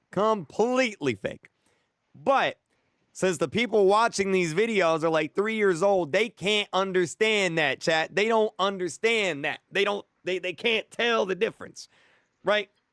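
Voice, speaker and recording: A high-pitched man with an animated tone at a fairly slow pace, dry and close with no echo, in a very clean recording with a silent background. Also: ordinary pitch variation. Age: 20s. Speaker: YouTuber streamer. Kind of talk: live stream chat.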